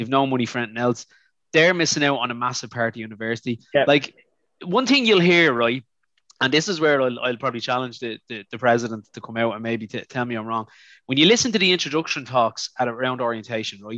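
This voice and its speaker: A man with an Irish accent talks very fast at a medium pitch with ordinary pitch variation and a bright, sharp tone. The sound is dry and close with no echo, over a quiet background. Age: 40s. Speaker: university chaplain. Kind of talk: casual chat.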